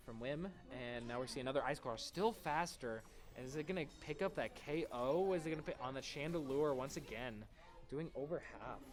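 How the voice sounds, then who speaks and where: A man's voice sits at a fairly high pitch while music plays behind him. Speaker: esports commentator. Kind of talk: live commentary. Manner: fast; animated.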